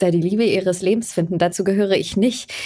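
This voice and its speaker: A woman with a plain, everyday voice talks at a fairly quick pace and medium pitch, with ordinary pitch variation. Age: 30s. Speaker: podcast host. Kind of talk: casual chat.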